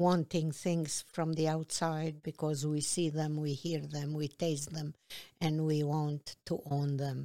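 A woman's very deep, low voice with a dark, mellow tone, at a very slow pace, in a dry, close sound with no echo. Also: very clean recording, silent background. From Kosovo. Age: 60s. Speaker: activist and author. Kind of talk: casual interview chat.

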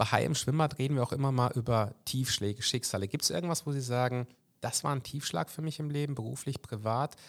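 A man with an unremarkable speaking voice talks fairly quickly at a medium pitch with ordinary pitch variation. The recording is very clean, with a silent background. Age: 40s. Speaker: podcast host. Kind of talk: interview. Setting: party district office.

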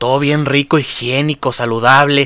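Speaking at a fairly slow pace with an animated tone, a man with a fairly high pitch and a Mexican accent comes across in a dry, close sound with no echo, over noticeable background noise. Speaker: podcast host. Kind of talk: comedic rant.

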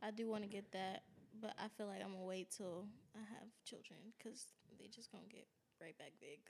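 Soft-spoken and fairly high-pitched, a woman talks with fairly even intonation. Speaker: podcast host. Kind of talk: casual chat.

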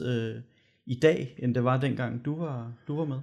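A man speaks with fairly even intonation. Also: very clean recording, silent background. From Denmark, Gørlev. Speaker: podcast host, local election candidate. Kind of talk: casual podcast chat. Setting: studio.

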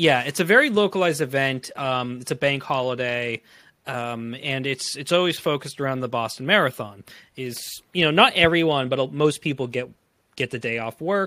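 A plain, everyday voice from a man with an American accent, medium in pitch, at a moderate pace with ordinary pitch variation. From Framingham, Massachusetts. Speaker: film podcast guest. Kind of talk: casual chat.

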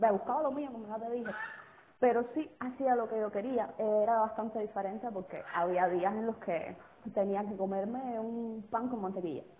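Against noticeable background noise, a woman with a Cuban accent speaks at a moderate pace, her fairly high pitch showing ordinary variation. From Cuba, Sagua. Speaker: guest. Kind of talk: casual chat. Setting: phone call.

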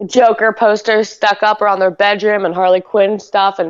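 A woman's medium-pitched voice with a clear, smooth tone, little pitch movement and a moderate pace

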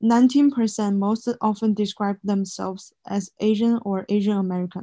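Speaking with a Chinese accent, a woman has a dark, mellow tone, a medium pitch and fairly even intonation. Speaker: student podcast co-host. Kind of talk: scripted student podcast presentation.

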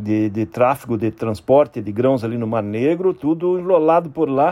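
A man speaks at a moderate pace and medium pitch. His tone is dark and mellow, with ordinary pitch variation. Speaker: agricultural market analyst. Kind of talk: market commentary.

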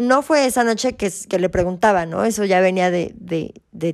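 A woman speaks at a moderate pace. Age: 30s. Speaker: entrepreneur. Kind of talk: testimony. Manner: halting.

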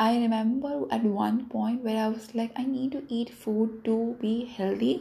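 Somewhat breathy and fairly high-pitched, a woman talks at a fairly slow pace with hardly any pauses and ordinary pitch variation. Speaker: solo podcaster. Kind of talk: casual monologue. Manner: rambling, reflective.

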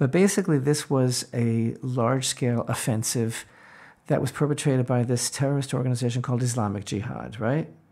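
A man's medium-pitched voice, dark and mellow in tone, at a fairly quick pace with ordinary pitch variation. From Israel. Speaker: rabbi. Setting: video call from his home.

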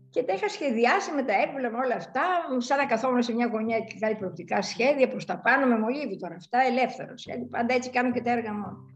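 Over noticeable background noise, a woman with a high pitch and lively intonation talks at a fairly quick pace with hardly any pauses. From Greece, Larissa. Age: 70s. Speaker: sculptor. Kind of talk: interview. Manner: halting.

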